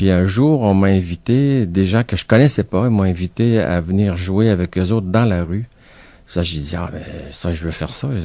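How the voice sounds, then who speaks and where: A man with a very deep, low pitch and a dark, mellow tone talks at a moderate pace with ordinary pitch variation. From Quebec City. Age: 60s. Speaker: author and retired art teacher. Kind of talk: radio interview.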